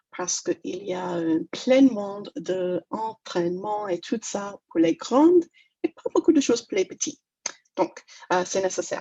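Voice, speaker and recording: A woman speaks at a fairly slow pace with a slight English-Canadian accent and a medium pitch. Her intonation is lively, and the sound is dry and close with no echo. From Toronto, Canada (English-speaking). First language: English (speaking French). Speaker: negotiation trainer. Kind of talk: webinar talk. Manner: halting, many hesitations.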